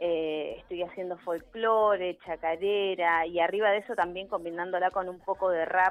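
The delivery has a moderate pace, monotone, flat intonation and hardly any pauses. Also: woman, medium pitch for a woman. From Neuquén, Argentina. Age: 30s. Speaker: local musician. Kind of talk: radio interview.

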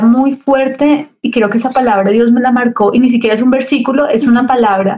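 Speaking at a moderate pace, a woman has a high pitch, a dark, mellow tone and fairly even intonation. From Colombia, Cali. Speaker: church youth leader. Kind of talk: casual chat. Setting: remote call.

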